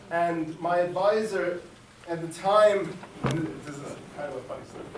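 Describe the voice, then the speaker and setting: Amid noticeable background noise and audible room echo, a man with a high voice speaks at a moderate pace with ordinary pitch variation and big swings in loudness. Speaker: climate scientist. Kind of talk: lecture. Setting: lecture hall with audience. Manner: halting; soft-spoken. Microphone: no microphone.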